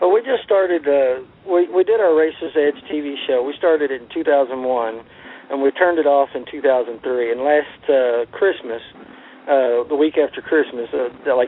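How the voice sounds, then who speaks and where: Noticeable background noise runs under the recording. A man with a fairly high voice talks at a moderate pace. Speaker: racing TV show producer. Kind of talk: radio interview. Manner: halting.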